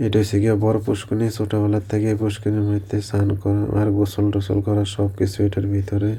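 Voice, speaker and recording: A man with a fairly low pitch talks in a flat monotone, his tone dark and mellow, his loudness very even and his voice somewhat breathy. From Tripura, India (village). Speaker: village vlogger. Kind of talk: vlog narration over own video. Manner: casual, conversational.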